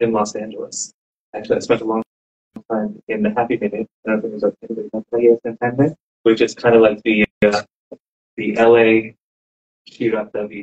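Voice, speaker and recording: Soft-spoken and monotone, a man with an American accent and a medium pitch talks at a fairly quick pace with long, frequent pauses, his flat intonation caught in a dry, close sound with no echo. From Southern California. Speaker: rabbi and inspirational speaker. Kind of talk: inspirational talk to a live audience. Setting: room with live audience. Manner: casual, conversational.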